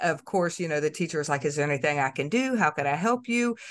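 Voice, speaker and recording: With an American accent, a normal speaking voice carries lively intonation. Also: woman. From Florida. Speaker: student success coach. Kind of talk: podcast interview.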